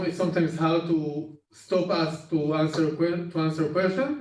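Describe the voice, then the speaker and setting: With a non-native accent, a man speaks fairly slowly at a high pitch and fairly even intonation, with audible room echo. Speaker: data team lead. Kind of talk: internal training presentation. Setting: Zoom session. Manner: halting, many fillers.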